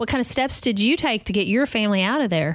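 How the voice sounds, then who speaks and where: A woman with a Southern US accent uses lively intonation in a very clean recording with a silent background. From US South. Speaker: podcast host. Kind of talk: casual interview.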